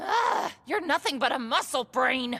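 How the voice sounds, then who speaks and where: Putting on a raspy character voice, a woman speaks at a high pitch and a fairly slow pace. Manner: hollering, scolding.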